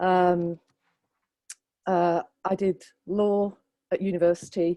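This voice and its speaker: The tone is dark and mellow with monotone, flat intonation, recorded dry and close with no echo against a silent background on a very clean recording. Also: woman. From northern England, Bolton, Greater Manchester. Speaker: government lawyer, barrister. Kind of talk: panel talk at professional event. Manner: hesitant, many fillers.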